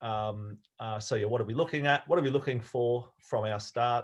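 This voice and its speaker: A man with an Australian accent, medium pitch for a man, somewhat breathy, fairly even intonation and a moderate pace, over a quiet background. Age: old. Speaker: sailing coach. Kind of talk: lecture. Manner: halting.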